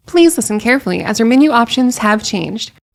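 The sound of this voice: A very fast, robotic put-on character voice, female-sounding, with a fairly high pitch for a woman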